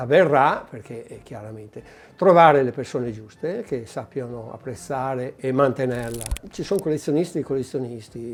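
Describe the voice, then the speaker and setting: Loudness swings widely in this voice, which moves at a moderate pace with ordinary pitch variation. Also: man, medium pitch for a man. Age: 60s. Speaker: collector. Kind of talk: interview. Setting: private collection venue. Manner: halting.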